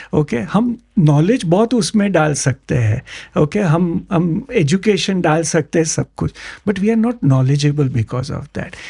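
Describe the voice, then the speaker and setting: Dry and close with no echo, a man's high-pitched voice carries a dark, mellow tone and lively intonation. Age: 60s. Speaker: entrepreneur, founder of a broking firm. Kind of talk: podcast interview. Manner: code-switching Hindi and English, repetitive fillers.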